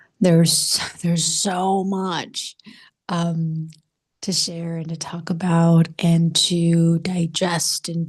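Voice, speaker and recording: Soft-spoken and somewhat breathy, the voice whispers at a very slow pace. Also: woman. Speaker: spiritual coach. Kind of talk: casual monologue vlog. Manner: soft-spoken, near whisper; halting, many fillers.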